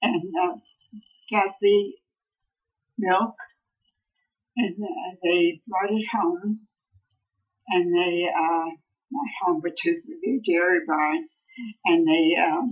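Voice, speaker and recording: Using lively intonation at a very slow pace, a woman speaks at a medium pitch with an American accent. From Scranton, Pennsylvania. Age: 80s+. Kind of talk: interview answer. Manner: slow, hesitant.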